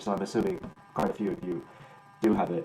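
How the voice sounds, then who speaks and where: A man's fairly low voice amid noticeable background noise and audible room echo. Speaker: concert pianist teaching improvisation. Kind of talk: workshop lecture. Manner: fast; halting, many restarts and fillers.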